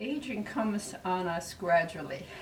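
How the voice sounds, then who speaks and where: The speech moves at a fairly slow pace with audible room echo. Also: woman. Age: 80s+. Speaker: retired resident of senior cooperative. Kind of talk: interview testimony. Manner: reflective, unhurried; halting with fillers.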